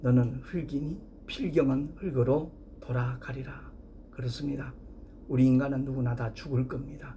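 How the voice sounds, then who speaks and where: A man speaks with a dark, mellow tone, vocal fry and fairly even intonation. Room echo is audible. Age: 60s. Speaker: pastor. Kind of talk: sermon.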